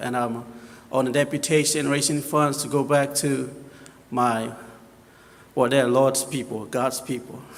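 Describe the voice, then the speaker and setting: With audible room echo, a man with a Papua New Guinean accent speaks at a medium pitch and a moderate pace, his intonation monotone and flat. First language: local Papua New Guinea dialect. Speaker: missionary. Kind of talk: missionary presentation in church. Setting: church. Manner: hesitant, many fillers.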